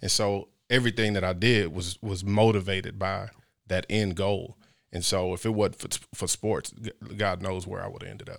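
A man with an American accent speaks at a fairly low pitch and moderate pace, monotone and flat but with big swings in loudness, on a very clean recording with a silent background. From Midland, Texas. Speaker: former football player. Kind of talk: podcast interview.

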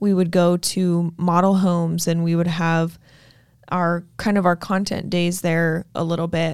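Fairly slow, monotone speech in an American accent, flat in intonation and very even in loudness, on a very clean recording with a silent background. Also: woman, fairly low pitch for a woman. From Utah. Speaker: realtor and podcast host. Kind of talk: casual chat. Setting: studio.

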